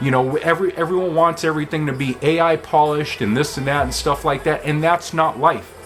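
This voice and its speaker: Music plays in the background as a man talks. He speaks at a fairly quick pace and a fairly high pitch. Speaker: vlogger. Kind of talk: casual talk to camera. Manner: uses many filler words.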